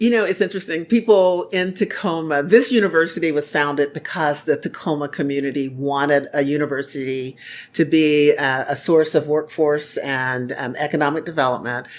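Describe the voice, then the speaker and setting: Moderate in pace with hardly any pauses, a woman speaks at a very deep, low pitch with ordinary pitch variation. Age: 60s. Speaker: university chancellor. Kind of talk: casual interview. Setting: college campus.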